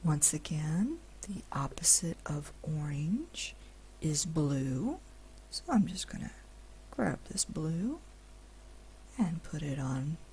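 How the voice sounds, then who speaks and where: The speaker is soft-spoken and talks at a very slow pace. Long pauses come often. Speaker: digital art instructor. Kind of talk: instructional screen-recorded tutorial narration. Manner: slow, soft-spoken, relaxing.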